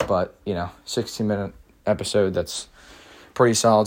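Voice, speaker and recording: A man with a plain, everyday voice talks at a fairly quick pace and a fairly low pitch, with fairly even intonation. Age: young. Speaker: podcast host. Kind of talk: solo monologue. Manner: casual, many filler words.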